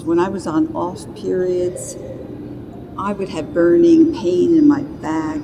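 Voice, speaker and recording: There is noticeable background noise and audible room echo. A woman with an American accent speaks at a very slow pace. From US, New York. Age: 70s. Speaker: patient. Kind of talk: testimony.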